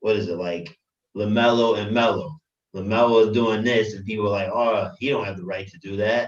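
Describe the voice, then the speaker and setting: In a normal speaking voice, a man talks with fairly even intonation at a fairly low pitch. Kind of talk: casual group discussion about poetry. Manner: casual, conversational.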